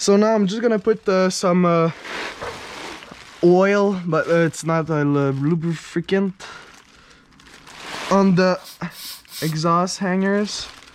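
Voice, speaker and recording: Background noise is noticeable as the words come very slowly, with long pauses occurring often. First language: French. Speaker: car hobbyist youtuber. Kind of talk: casual DIY vlog narration. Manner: casual, halting with fillers.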